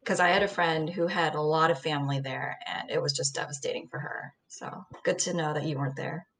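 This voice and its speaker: A woman's very deep, low voice in an American accent, fairly quick, with fairly even intonation. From US Midwest (Ohio), born in Seoul. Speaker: MBA student, former journalist. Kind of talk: casual chat.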